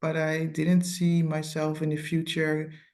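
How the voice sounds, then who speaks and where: A woman's very deep, low pitch with a dark, mellow tone. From Netherlands. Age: 30s. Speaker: program graduate, mother of two. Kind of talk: interview testimony. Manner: hesitant, many fillers.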